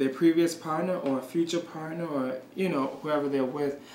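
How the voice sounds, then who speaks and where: A man with a fairly high pitch keeps a moderate pace, his voice carrying audible room echo alongside noticeable background noise. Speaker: shelter worker. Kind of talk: interview.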